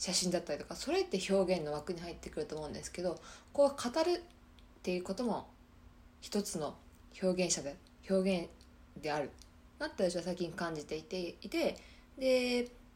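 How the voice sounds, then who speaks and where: A woman speaks with lively intonation at a moderate pace. She leaves long, frequent pauses. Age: 20s. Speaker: podcast host, systems engineer. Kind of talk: casual solo talk. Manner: halting.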